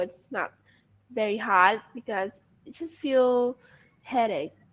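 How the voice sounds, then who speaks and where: In an American accent, a woman talks at a very slow pace with ordinary pitch variation. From Vietnam. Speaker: English learner. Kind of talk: casual chat.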